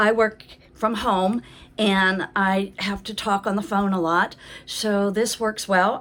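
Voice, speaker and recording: A woman's medium-pitched voice at a very slow pace. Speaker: product reviewer. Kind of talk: product review. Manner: loud.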